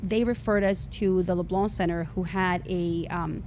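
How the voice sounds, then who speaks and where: In a dark, mellow tone, a woman speaks at medium pitch with fairly even intonation, and audible room echo surrounds her. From Honduras. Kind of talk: testimony.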